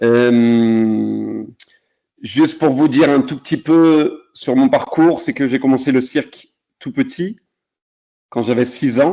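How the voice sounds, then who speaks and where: Speaking very slowly, a man delivers his words. He pauses often, and the pauses are long. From France, Lyon area. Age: 40s. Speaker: circus artist. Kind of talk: talk on his career. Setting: video call. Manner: halting.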